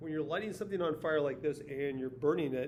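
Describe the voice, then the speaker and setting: A man's fairly high voice with ordinary pitch variation and audible room echo. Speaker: science teacher. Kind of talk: video lesson recap. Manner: fast.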